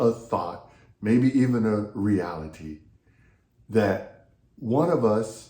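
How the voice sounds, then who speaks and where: A man with an American accent, his tone dark and mellow, with audible echo from the room. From US South (Texas/Louisiana). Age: 60s. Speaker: pastor and leadership coach. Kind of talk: devotional talk.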